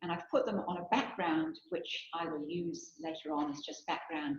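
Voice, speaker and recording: A soft-spoken woman with a somewhat breathy, fairly low voice. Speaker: theology researcher and guest lecturer. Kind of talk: lecture. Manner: reading from a script.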